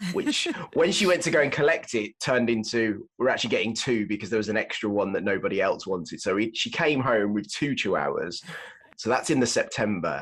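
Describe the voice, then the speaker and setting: A man at medium pitch with a slight Birmingham accent and a fairly quick pace. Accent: slight Brummie. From England, Birmingham. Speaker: parenting blogger and father. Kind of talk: casual chat. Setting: at home, in basement, remote call.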